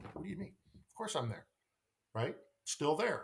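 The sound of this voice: The pitch swings widely at a fairly slow pace. Vocal fry runs through the voice. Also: man.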